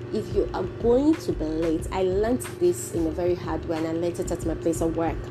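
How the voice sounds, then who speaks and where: A woman speaks at a fairly quick pace with hardly any pauses over noticeable background noise. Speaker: podcast host. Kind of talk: solo motivational talk. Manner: casual.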